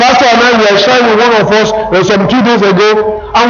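Noticeable background noise sits behind this man. He speaks at a moderate pace in an animated tone. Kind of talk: sermon. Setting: church with congregation. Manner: animated, insistent preacher repeatedly checking the congregation is following; call-and-response, exhorting the audience for amens.

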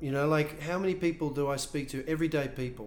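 This man has a plain, everyday voice, fairly high in pitch, with fairly even intonation. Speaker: voice coach and theatre director. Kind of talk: casual interview chat.

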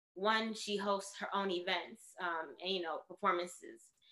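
In a New York accent, a woman speaks with medium pitch and a bright, sharp tone. Her intonation is monotone and flat, at a moderate pace. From New York City (Bronx). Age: 30s. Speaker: artist and yoga teacher. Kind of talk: casual chat.

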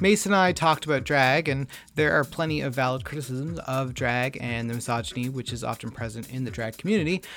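A man speaks at a very fast pace and a medium pitch with hardly any pauses and lively intonation. Music plays in the background. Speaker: podcast host. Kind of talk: podcast intro and casual interview. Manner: casual, animated, self-deprecating.

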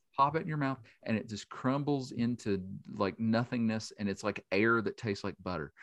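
A man with an Appalachian accent at a medium pitch, moderate pace and ordinary pitch variation, in a dry, close sound with no echo against a quiet background. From West Virginia, Boone County. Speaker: journalist and multimedia specialist. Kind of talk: casual chat.

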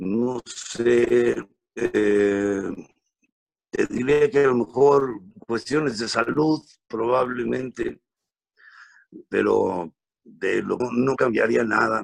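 The delivery is very slow. Long pauses occur frequently. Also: man. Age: 50s. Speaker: comedian. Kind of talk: casual chat.

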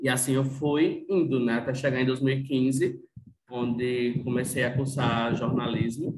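Somewhat breathy, a man speaks at a medium pitch with a monotone, flat intonation. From Rio Grande do Norte, Brazil (Northeast). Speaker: journalist and fashion content creator. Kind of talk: casual chat.

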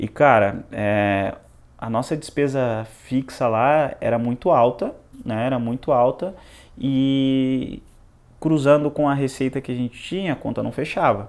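The voice moves at a fairly slow pace. Its pitch varies in an ordinary way. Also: man, medium pitch for a man. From Joinville, Santa Catarina, Brazil. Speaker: entrepreneur, former footballer. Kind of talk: interview.

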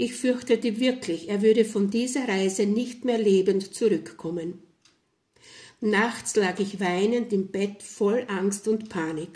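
At a very slow pace, a woman speaks in a calm tone with a medium pitch, ordinary pitch variation and a somewhat breathy sound. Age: 70s. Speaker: storyteller. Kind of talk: testimony. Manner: calm, reflective.

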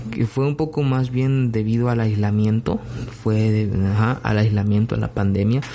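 Very even loudness, fairly even intonation, and a moderate pace, with noticeable background noise. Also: man, fairly low pitch for a man. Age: 20s. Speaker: solo podcaster. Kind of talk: personal reflective monologue. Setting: recording alone at night. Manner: halting.

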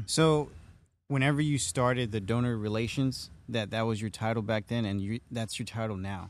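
On a very clean recording with a silent background, a man speaks at a moderate pace and medium pitch with ordinary pitch variation. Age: 30s. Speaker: podcast host. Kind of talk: casual interview. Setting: studio. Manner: halting, many fillers.

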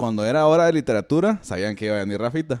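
A man talks with a Guatemalan accent and ordinary pitch variation. The recording is very clean, with a silent background. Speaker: podcast host. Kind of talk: casual chat.

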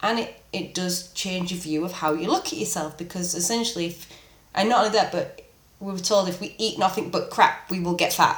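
A woman with a British accent talks at a fairly quick pace and a medium pitch. Her intonation is fairly even, and there is noticeable background noise. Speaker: podcast host. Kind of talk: casual interview chat.

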